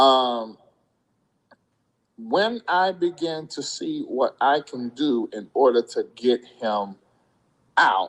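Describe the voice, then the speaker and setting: Slowly, a man speaks at a very slow pace with long, frequent pauses. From US South. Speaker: YouTube commentator. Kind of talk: live stream commentary. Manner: casual, conversational.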